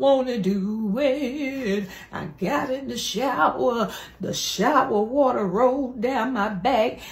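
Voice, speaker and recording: A woman speaks in a high, animated voice with lively intonation. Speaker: comedian. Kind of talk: comedy church skit, playing a sassy churchgoer. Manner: animated, exaggerated, sassy, call-and-response preacher-style delivery; jokey, laughing at own lines. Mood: playful, teasing. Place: home room. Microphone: phone near.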